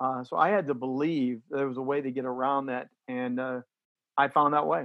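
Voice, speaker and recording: A man's fairly high voice at a moderate pace. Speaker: sports broadcaster and keynote speaker. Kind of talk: interview chat. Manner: halting.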